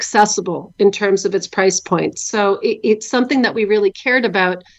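A woman with a Canadian accent and an ordinary speaking voice talks at a moderate pace, her pitch fairly high. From Canada. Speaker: vodka company founder. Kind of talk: interview.

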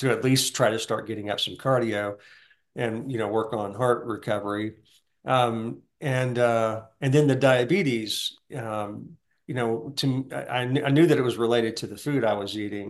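A man speaks in a Southern US accent, his pitch varying in an ordinary way. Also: medium pitch for a man, moderate pace. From US South. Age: 60s. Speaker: heart attack survivor. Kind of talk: testimony.

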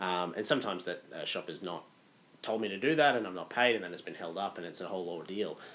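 Talking at a very fast pace, a man with a fairly low voice makes big swings in loudness. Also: ordinary pitch variation. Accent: Australian. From Australia. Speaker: podcast co-host, finance consultant. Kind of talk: casual chat. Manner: halting, repetitive fillers.

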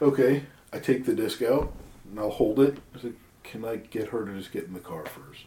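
With an unremarkable speaking voice, a man talks at medium pitch with ordinary pitch variation and big swings in loudness. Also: moderate pace. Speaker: tabletop roleplaying player. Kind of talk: tabletop roleplaying game session, casual banter.

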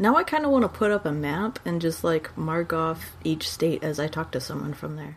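A woman with an American accent at a moderate pace, with hardly any pauses. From Texas. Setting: video call.

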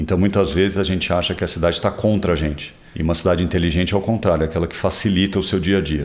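At a very fast pace, a man speaks in a very deep, low voice with fairly even intonation. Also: hardly any pauses. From São Paulo, Brazil. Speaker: interviewee, city resident. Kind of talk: interview.

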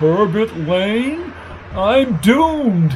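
Shaky and fairly high in pitch, the put-on character voice leaps through very wide pitch swings over clear background noise.

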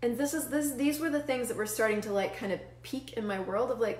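A woman's high-pitched, animated voice with lively intonation over noticeable background noise. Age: 40s. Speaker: facilitator and show host. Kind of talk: solo livestream talk. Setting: live video stream with chat viewers.

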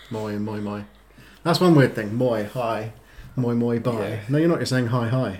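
Here a man speaks in an English accent. His pitch is medium. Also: ordinary pitch variation, moderate pace. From England. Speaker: boyfriend guest. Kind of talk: casual chat.

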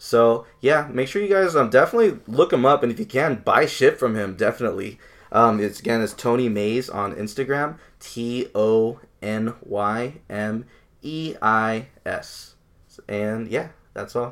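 At a fairly slow pace, a man talks in an ordinary speaking voice with a medium pitch and ordinary pitch variation. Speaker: podcast co-host. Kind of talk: casual chat.

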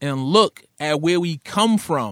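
This man has a fairly high pitch and a New York accent. His tone is bright and sharp, with lively intonation. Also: dry, close sound with no echo. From Brooklyn, New York (Coney Island). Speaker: rapper and radio host. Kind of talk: casual interview chat.

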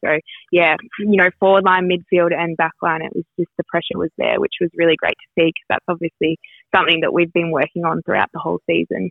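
Over music in the background, a woman with an Australian accent speaks fairly quickly at a fairly low pitch with monotone, flat intonation. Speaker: women's footballer. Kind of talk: interview. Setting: phone call.

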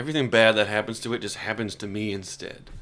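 Speaking in an unremarkable speaking voice, this man keeps a moderate tempo and a mid-range pitch. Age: 20s. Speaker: comedy podcast host. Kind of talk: casual chat.

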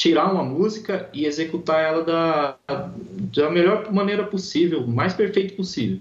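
His pitch runs fairly high. The man speaks at a fairly slow pace. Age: 30s. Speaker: heavy metal guitarist, course student. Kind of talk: interview.

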